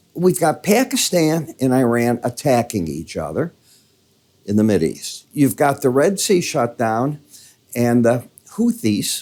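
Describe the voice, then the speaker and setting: A man with a Midwestern accent speaks at a fairly slow pace. His medium-pitched voice has a dark, mellow tone and very wide pitch swings. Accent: Midwest. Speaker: market analyst. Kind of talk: market commentary. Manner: casual.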